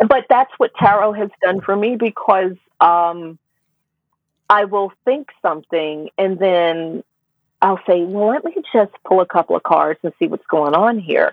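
A woman with a normal speaking voice talks in an American accent at a medium pitch. She goes at a fairly slow pace with lively intonation. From US South. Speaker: tarot reader and writer. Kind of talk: interview conversation.

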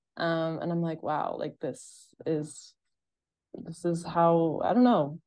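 A woman's fairly low voice with an American accent, very slow pace, quiet background. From Massachusetts, US. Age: 20s. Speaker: retail store manager and content creator. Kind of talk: casual interview chat.

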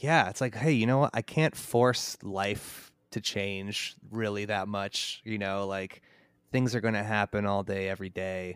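A man with an American accent speaks fairly slowly with ordinary pitch variation on a very clean recording with a silent background. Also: fairly low pitch for a man. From Chicago area, Illinois (Mundelein). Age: 30s. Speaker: graphic designer and touring musician. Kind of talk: casual interview.

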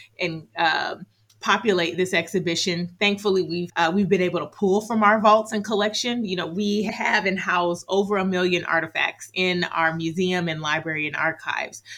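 A woman speaks with an American accent at a medium pitch and a moderate pace. Her tone is bright and sharp, and her intonation fairly even. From California. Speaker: museum curator. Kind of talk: interview.

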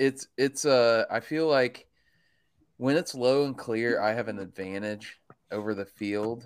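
A normal speaking voice from a man at medium pitch, with ordinary pitch variation and a fairly slow pace, on a very clean recording with a silent background. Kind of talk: casual chat.

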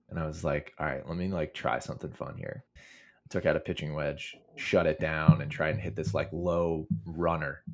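A man's very deep, low voice with vocal fry, ordinary pitch variation, and a moderate pace against a quiet background. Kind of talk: casual chat. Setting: video call.

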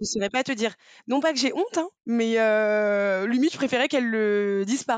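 A woman with a plain, everyday voice speaks at a fairly quick pace in a fairly high pitch, her loudness very even and her pitch variation ordinary. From Brittany, France (Rennes). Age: 30s. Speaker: podcast guest, mother of a blended family. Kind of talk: casual interview chat.

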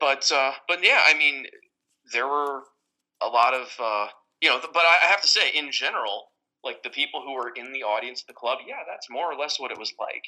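Bright, sharp tone from a man with an American accent, fairly high pitch, ordinary pitch variation, big swings in loudness and a moderate pace. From Westchester, New York. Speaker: app creator. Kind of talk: casual interview. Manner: halting, repeats words.

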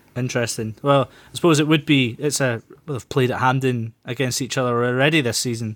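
The speaker talks at a fairly quick pace with a Scottish accent. The intonation stays fairly even. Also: man, medium pitch for a man. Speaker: football podcast host. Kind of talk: casual chat.

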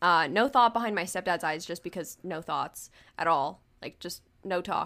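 A woman speaks at a moderate pace in an animated, bright, sharp tone, her pitch fairly low with ordinary variation and her loudness swinging widely. The recording is very clean, with a silent background. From United States. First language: not English. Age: 20s. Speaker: podcast co-host. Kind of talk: casual chat.

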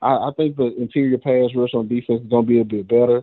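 Very fast, monotone delivery from a man at medium pitch with a Southern US accent. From Mississippi. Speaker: caller, football fan. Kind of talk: casual chat.

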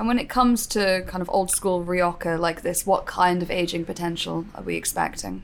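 With a British accent, a woman speaks at a fairly low pitch and moderate pace. She uses ordinary pitch variation and hardly any pauses. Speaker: podcast host. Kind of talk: scripted-style intro and interview. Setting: studio.

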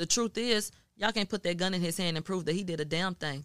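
In an unremarkable speaking voice, a woman with an American accent talks at a fairly quick pace and fairly low pitch, with dry, close sound, no echo, and a very clean recording over a silent background. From Houston, Texas. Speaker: media journalist. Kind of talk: casual chat.

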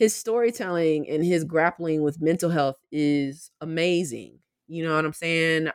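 In a very clean recording with a silent background, a woman speaks with a Southern US accent, the sound dry and close with no echo. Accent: Southern US (Georgia). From US South, southwest Georgia (Albany). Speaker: professor. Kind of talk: interview. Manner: casual, frequent laughter.

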